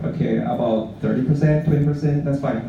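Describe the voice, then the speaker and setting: With noticeable background noise and audible room echo, a man speaks in a fairly high pitch with a Mandarin accent. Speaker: blockchain project presenter. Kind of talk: conference presentation. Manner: halting, with frequent fillers.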